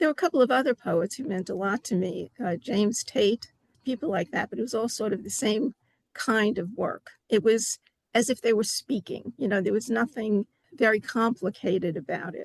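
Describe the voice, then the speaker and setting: A somewhat breathy voice with lively intonation, in a New York accent. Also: woman, fairly high pitch for a woman, moderate pace. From New York City (Bronx). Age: 70s. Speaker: poet. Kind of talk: interview.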